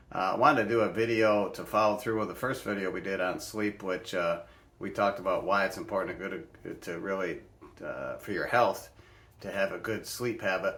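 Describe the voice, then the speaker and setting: A man's fairly low voice at a fairly quick pace, with fairly even intonation and audible room echo. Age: 60s. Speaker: health and wellness vlogger. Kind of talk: casual explainer vlog. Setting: bedroom at home. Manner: casual with many fillers and restarts.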